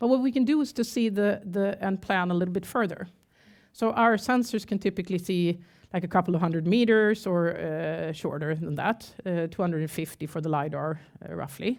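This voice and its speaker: A woman speaks at a medium pitch and a fairly quick pace. The recording is very clean, with a silent background. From Sweden, Gothenburg. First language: Swedish. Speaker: tech company CEO. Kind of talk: conference talk. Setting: stage with audience.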